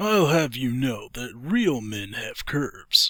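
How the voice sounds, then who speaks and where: A man puts on a character voice with a fairly high pitch, going at a fairly slow pace in a very clean recording with a silent background. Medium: audio drama.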